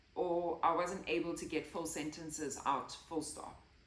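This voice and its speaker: Fairly slow speech from a woman with a fairly low pitch, plus audible room echo. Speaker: health and lifestyle vlogger. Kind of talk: personal testimony. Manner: occasional stutter and word-finding pauses.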